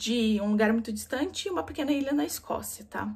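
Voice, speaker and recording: A woman talks at a fairly high pitch with lively intonation. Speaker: book vlogger. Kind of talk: casual book review monologue. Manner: fast.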